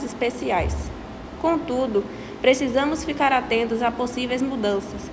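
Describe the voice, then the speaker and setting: A woman talks with a high-pitched voice. The room echo is audible and the background noise is noticeable. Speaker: apprentice worker. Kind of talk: prepared talk read aloud.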